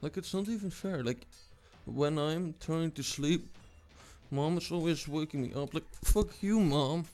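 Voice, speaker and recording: A man with a fairly high pitch speaks while music plays behind him. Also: ordinary pitch variation, fairly slow pace. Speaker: gaming youtuber. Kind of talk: gameplay commentary. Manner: soft-spoken.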